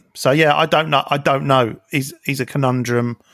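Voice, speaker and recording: On a very clean recording with a silent background, a man speaks in a plain, everyday voice at medium pitch and a moderate pace, with fairly even intonation. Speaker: podcast co-host. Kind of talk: casual chat.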